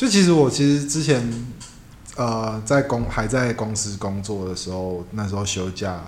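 Audible room echo surrounds fairly slow speech whose pitch varies in an ordinary way. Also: man, fairly low pitch for a man. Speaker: tattoo artist. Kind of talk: casual chat.

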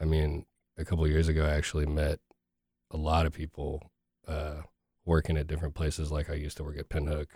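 In an American accent, a man with a very deep, low pitch and a dark, mellow, somewhat breathy tone talks at a very fast pace in a flat monotone, leaving long, frequent pauses, on a very clean recording with a silent background. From Texas. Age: 30s. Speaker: hip hop artist. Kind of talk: casual interview.

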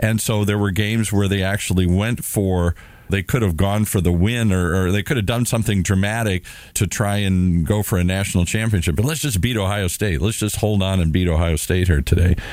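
A man with an American accent has a plain, everyday voice at a fairly low pitch with ordinary pitch variation. He talks at a fairly quick pace with very even loudness. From US Midwest, Minnesota. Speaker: radio show co-host. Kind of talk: casual chat.

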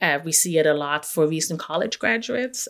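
Speaking with a German accent, a woman has a fairly low-pitched voice. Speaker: investigative journalist. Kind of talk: radio interview.

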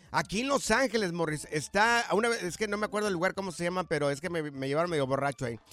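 A man talks at a very fast pace with hardly any pauses, his pitch high and his intonation lively. His tone is animated, bright and sharp. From Mexico, Jalisco (rural). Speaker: radio host. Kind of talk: casual chat. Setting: studio.

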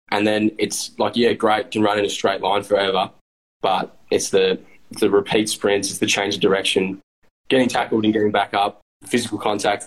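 A man with an Australian accent talks at a fairly low pitch with monotone, flat intonation. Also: moderate pace. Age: 20s. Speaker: Australian rules footballer. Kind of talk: casual interview.

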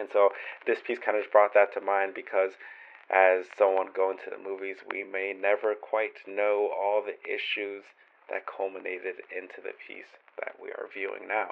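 The loudness of a man's voice swings a lot as he talks at a moderate pace. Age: 20s. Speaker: podcast host reading listener writing. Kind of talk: podcast monologue with readings. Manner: casual, with filler words.

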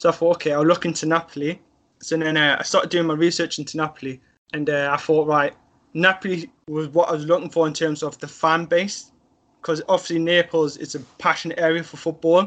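A man with a Sunderland accent, fairly high pitch, monotone, flat intonation and a fairly quick pace against a quiet background. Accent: Mackem (Sunderland) English. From northern England, Sunderland. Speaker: football fan. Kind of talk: casual chat.

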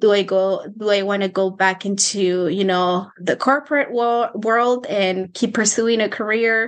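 With a Spanish accent, a woman talks fairly slowly at medium pitch, with hardly any pauses, fairly even intonation and very even loudness. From Mexico, Michoacán. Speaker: personal finance coach. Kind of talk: interview.

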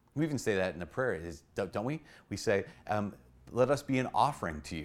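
On a very clean recording with a silent background, a man speaks with an American accent at a fairly low pitch. He sounds animated, with lively intonation and a moderate pace. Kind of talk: short video homily on the Mass. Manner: earnest, urgent exhortation to the congregation; animated, conversational storyteller.

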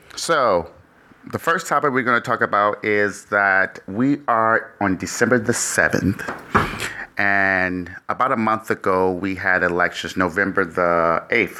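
Very slow speech with ordinary pitch variation over noticeable background noise. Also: man. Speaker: podcast host. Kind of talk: casual chat. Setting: studio. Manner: animated.

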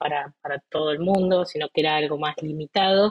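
At a moderate pace, a woman speaks with fairly even intonation in an unremarkable speaking voice. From Argentina, Entre Ríos. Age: 30s. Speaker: physician and rare disease patient. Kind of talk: interview.

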